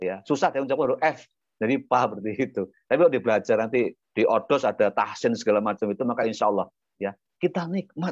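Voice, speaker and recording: Over a quiet background, a man talks at a very fast pace with lively intonation. His medium-pitched voice sounds dry and close, with no echo. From Indonesia, Lampung (Javanese parents). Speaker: Islamic preacher. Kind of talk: religious talk. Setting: video call.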